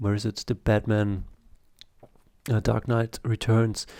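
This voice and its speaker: A man with a German accent speaks in a fairly low, dark, mellow voice. His intonation is monotone and flat, on a very clean recording with a silent background. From Germany, Italian family. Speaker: comic artist and YouTuber. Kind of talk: casual video review monologue. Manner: halting, many fillers.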